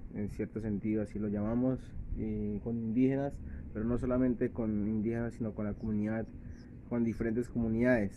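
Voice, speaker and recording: Talking at a fairly quick pace, a man with a Colombian accent keeps a monotone, flat intonation. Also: medium pitch for a man. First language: Sikuani (speaking Spanish). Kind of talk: testimony. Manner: halting, many hesitations.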